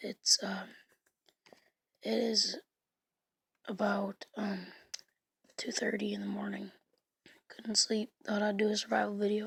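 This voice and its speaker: In a quiet, raspy, put-on character voice at a medium pitch, a woman speaks at a moderate pace with long, frequent pauses. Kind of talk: casual, hesitant with fillers.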